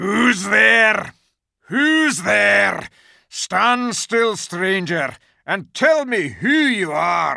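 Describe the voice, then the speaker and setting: A man's put-on character voice, high-pitched and growling, at a very slow pace. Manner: menacing, demanding.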